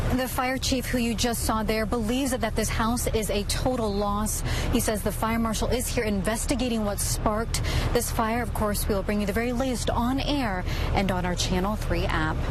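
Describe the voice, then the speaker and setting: Over noticeable background noise, a woman speaks at a moderate pace in a fairly high pitch. Her intonation is fairly even and her loudness very even. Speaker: TV news reporter. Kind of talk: live TV news report. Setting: outdoors on location.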